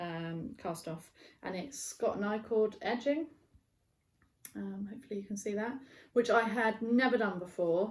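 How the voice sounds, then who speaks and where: A woman with a British accent talks at a moderate pace in a fairly high, somewhat breathy voice, with ordinary pitch variation, big swings in loudness, and long, frequent pauses. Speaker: knitting podcaster and yarn dyer. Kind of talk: casual video podcast chat. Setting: barn. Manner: casual, many fillers.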